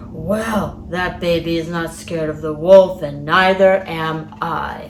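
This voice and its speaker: A put-on character voice at a middle pitch and fairly slow pace, amid clear background noise. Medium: read story.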